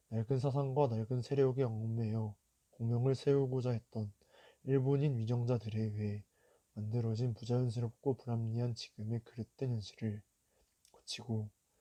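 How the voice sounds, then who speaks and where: A man's dark, mellow, somewhat breathy voice in a monotone with flat intonation, at a moderate pace, in a dry, close sound with no echo. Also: medium pitch for a man. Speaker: youth reader reciting a historical declaration. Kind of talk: solemn historical declaration reading.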